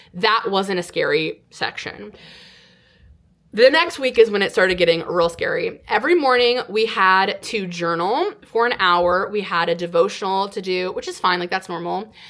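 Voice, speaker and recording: At a moderate pace and medium pitch, a woman with an American accent talks in an unremarkable speaking voice with ordinary pitch variation. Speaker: online storyteller. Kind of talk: casual storytelling monologue to camera.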